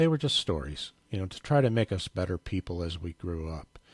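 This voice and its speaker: Very deep and low, a man's somewhat breathy voice moves in very wide pitch swings at a fairly quick pace, the sound dry and close with no echo on a very clean recording with a silent background. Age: 60s. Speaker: podcast host. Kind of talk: casual monologue. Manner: unscripted, hesitant with fillers.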